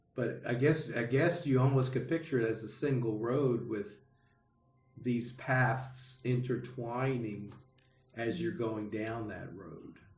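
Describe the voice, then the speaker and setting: A man's medium-pitched voice at a very slow pace with ordinary pitch variation, noticeable background noise and audible room echo. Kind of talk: adult education class discussion. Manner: halting, many repetitions and fillers; slow, deliberate.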